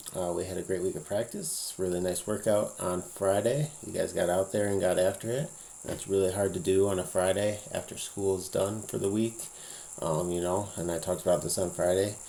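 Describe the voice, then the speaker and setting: Noticeable background noise runs behind speech delivered at a fairly quick pace. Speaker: high school cross country coach. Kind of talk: casual vlog update. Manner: hesitant, many fillers.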